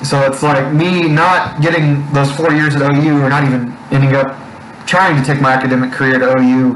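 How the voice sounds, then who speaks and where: Amid noticeable background noise and audible room echo, a man speaks fairly quickly at a fairly high pitch, his loudness very even. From Oklahoma Panhandle. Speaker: sports podcast co-host. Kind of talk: casual chat. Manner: animated.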